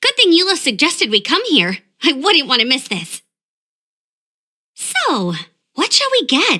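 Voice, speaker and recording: A woman puts on an energetic, high-pitched character voice at a moderate pace. Her pitch swings very widely. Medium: video game. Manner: bright, energetic.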